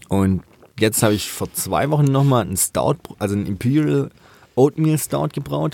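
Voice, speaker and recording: With a fairly low pitch and a dark, mellow tone, a man speaks at a moderate pace while his pitch swings very widely. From southwest Germany, Rottweil area. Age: 20s. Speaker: master brewer. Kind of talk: casual chat. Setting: studio.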